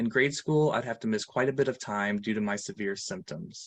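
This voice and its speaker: A man with an American accent speaks in an ordinary speaking voice at medium pitch. His pace is fairly quick, and the sound is dry and close with no echo. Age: 30s. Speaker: patient advocate. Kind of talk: testimony. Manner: formal.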